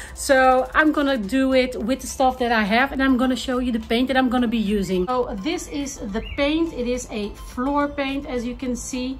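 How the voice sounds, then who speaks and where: Faint music sits in the background while a woman talks at a moderate pace in a high pitch with ordinary pitch variation. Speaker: home organizing vlogger. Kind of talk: casual vlog chat. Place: garage. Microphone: phone near.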